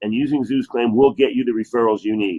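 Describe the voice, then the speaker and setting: A man with a New Jersey accent. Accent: New Jersey American. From New Jersey, US. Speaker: chiropractor. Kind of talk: sales pitch presentation.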